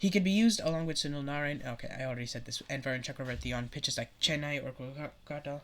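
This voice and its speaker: The speech moves at a very fast pace with hardly any pauses. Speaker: cricket YouTuber. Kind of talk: casual commentary video. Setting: solo recorded video, no edits. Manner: hesitant with fillers.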